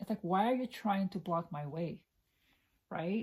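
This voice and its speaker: With a fairly low pitch and ordinary pitch variation, a woman talks at a moderate pace in a somewhat breathy voice. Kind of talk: ASMR scary story time, personal anecdote told to camera. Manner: conversational, storytelling.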